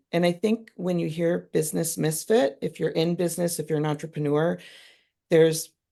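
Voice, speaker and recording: A woman speaks in a very deep, low register with a dark, mellow tone and vocal fry against a quiet background. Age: 40s. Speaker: entrepreneur. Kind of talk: interview. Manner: casual.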